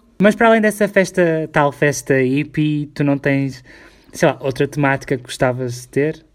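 In a very clean recording with a silent background, a man with a European Portuguese accent speaks at fairly high pitch with ordinary pitch variation. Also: moderate pace. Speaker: podcast co-host. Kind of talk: casual chat.

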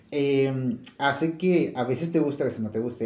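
With lively intonation, a man speaks at a moderate pace and a fairly high pitch in an ordinary speaking voice. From Monterrey, northern Mexico. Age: 20s. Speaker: podcast host, industrial engineer. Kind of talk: casual chat.

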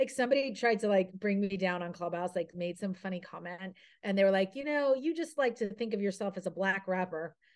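A woman's animated tone and lively intonation at a fairly quick pace, against a quiet background. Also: medium pitch for a woman. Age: 40s. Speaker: TV lifestyle personality and podcaster. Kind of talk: interview.

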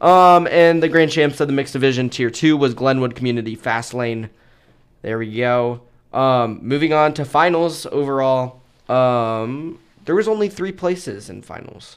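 Over a silent background in a very clean recording, a man at medium pitch talks at a moderate pace, with ordinary pitch variation and big swings in loudness. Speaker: podcast host covering show choir. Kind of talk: casual chat. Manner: laughs often; stumbles over names.

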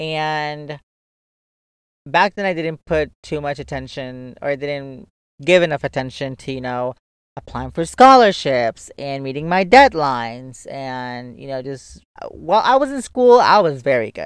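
His loudness swings widely as a man speaks at a fairly slow pace with a fairly high pitch and ordinary pitch variation. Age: 20s. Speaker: podcast host. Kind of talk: casual monologue. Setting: new recording location. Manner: animated.

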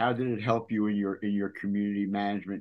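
This man speaks with a fairly low pitch. His pace is fairly quick. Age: 60s. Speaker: podcast host. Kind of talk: casual interview. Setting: video call.

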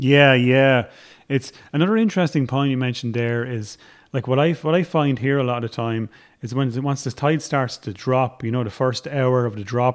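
The man talks at a moderate pace, his medium pitch showing ordinary variation. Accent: Irish. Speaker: podcast host. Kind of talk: casual chat.

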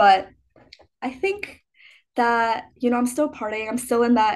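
A woman with an American accent speaks at a fairly high pitch, her intonation fairly even. Her pace is fairly slow, a plain, everyday voice. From US Midwest, Chicago. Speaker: college student. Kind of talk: casual chat.

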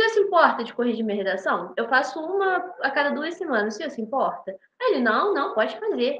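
A woman's high voice racing along at a very fast pace, with very wide pitch swings. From Brazil, Rio de Janeiro. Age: 20s. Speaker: medical student. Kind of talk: casual interview.

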